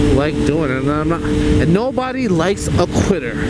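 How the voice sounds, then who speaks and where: Loud background noise fills the recording, though the sound is dry with no echo. The speech moves at a fairly slow pace. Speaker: motorcycle rider vlogger. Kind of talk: casual vlog chat. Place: motorbike. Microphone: helmet.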